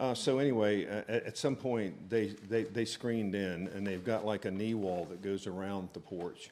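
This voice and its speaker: At a moderate pace with hardly any pauses, a man speaks at a fairly low pitch with fairly even intonation. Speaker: property owner applicant. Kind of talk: public meeting presentation. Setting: town board meeting, handheld mic. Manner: loud; hesitant, many fillers.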